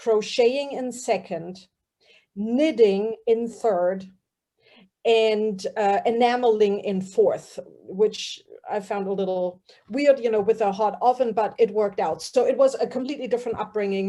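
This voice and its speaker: At a moderate pace, a woman with a German accent speaks in a fairly high pitch with fairly even intonation. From Germany. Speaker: fiber artist. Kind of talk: casual group chat.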